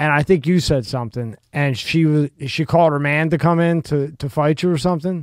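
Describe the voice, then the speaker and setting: A man's unremarkable speaking voice at a fairly quick pace, with ordinary pitch variation and hardly any pauses. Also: fairly high pitch for a man. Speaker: podcast interviewer. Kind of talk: casual chat. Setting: studio.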